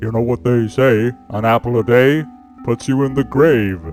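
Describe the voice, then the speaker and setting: A man uses a put-on character voice at a medium pitch. Clear music plays in the background. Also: moderate pace. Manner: dramatic, ominous, darkly humorous.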